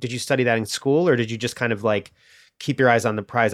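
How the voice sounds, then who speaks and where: In an American accent, a man speaks at medium pitch on a very clean recording with a silent background. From US Midwest (Illinois). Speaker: podcast host. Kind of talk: casual interview chat.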